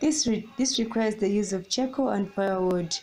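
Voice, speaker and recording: A woman speaks at a fairly quick pace in a fairly high pitch, with ordinary pitch variation. Her tone is dark and mellow, and somewhat breathy. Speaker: student competition pitch team member. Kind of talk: competition pitch.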